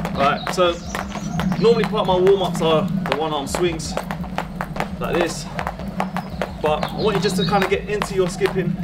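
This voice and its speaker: A man at a moderate pace with long, frequent pauses, against loud background noise. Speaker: fitness coach. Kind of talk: workout instruction. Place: street.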